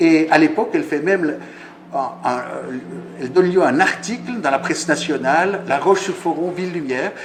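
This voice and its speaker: A high-pitched male voice at a fairly quick pace, with ordinary pitch variation, long, frequent pauses, audible room echo and noticeable background noise. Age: 60s. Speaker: conference speaker. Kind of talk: lecture. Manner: halting.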